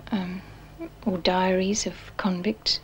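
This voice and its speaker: A woman's voice over light background noise. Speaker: historian, interviewee; interviewee. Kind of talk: interview, explanatory. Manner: thoughtful, hesitant, repeats words. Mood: calm, thoughtful. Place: home room.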